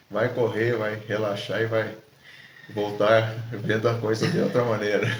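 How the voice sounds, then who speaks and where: Over audible room echo, a man talks at a fairly slow pace in a monotone, flat intonation. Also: medium pitch for a man. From southern Brazil, Rio Grande do Sul (Alegrete). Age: 60s. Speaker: ultramarathon runner, supermarket supervisor. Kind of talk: casual interview. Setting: at the host's home.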